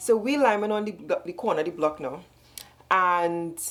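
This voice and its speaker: A woman with a Trinidadian accent speaks in an animated tone with ordinary pitch variation. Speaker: storytime vlogger. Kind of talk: storytelling monologue. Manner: fast.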